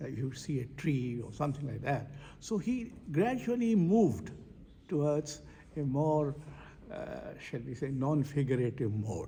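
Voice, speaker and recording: Fairly high-pitched man with lively intonation, fairly slow and full of long, frequent pauses, in audible room echo. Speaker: poet and foundation director. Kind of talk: interview. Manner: halting.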